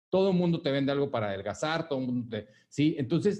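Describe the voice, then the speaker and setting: Talking at a very fast pace, a man uses lively intonation and a dark, mellow tone. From Mexico, Monterrey. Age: 40s. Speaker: wellness business owner, former engineer. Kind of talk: interview. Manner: halting, many fillers.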